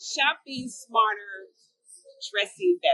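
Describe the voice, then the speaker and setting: A woman uses a raised, projected voice at a high pitch. The sound is dry and close, with no echo. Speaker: fashion vlogger. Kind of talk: casual talk to camera.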